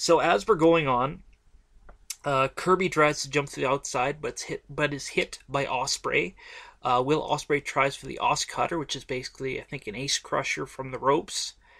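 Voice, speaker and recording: This man's voice is fairly high with a bright, sharp tone. His pitch varies in an ordinary way, his loudness swings widely, and he talks at a moderate pace. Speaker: wrestling podcast host. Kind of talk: podcast match recap. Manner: halting, many fillers.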